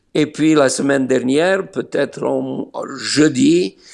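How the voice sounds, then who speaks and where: The talking is very slow, with pitch that varies in an ordinary way. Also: man. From Serbia (Niš, former Yugoslavia). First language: Slovene (speaking French). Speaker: pastor. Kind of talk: interview. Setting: remote call from Israel. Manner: hesitant with many fillers.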